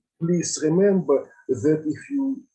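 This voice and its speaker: This man's voice has a dark, mellow tone, comes across somewhat breathy, and moves with lively intonation. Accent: Russian. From Russia, Saint Petersburg. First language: Russian. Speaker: mathematics teacher and lecturer. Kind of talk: lecture. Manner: halting.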